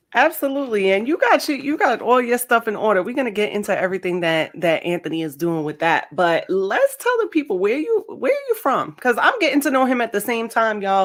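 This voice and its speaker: Loud and animated, a woman talks at a fairly quick pace and fairly high pitch with very wide pitch swings and hardly any pauses, over noticeable background noise. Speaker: podcast host. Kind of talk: podcast interview.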